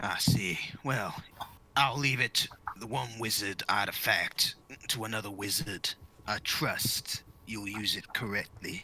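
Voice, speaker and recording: A man uses a put-on character voice at a medium pitch. He goes at a fairly slow pace with long, frequent pauses. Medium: actual play.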